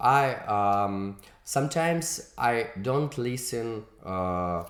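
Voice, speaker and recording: With a non-native accent and lively intonation, a man speaks at a very slow pace and medium pitch amid audible room echo. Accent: non-native English, weak English. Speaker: music video director and producer. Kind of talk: interview. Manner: halting, many fillers.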